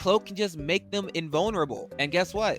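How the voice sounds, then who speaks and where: Music plays behind a man whose delivery is fairly quick. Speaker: gaming YouTuber. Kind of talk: gameplay commentary. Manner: fast; animated.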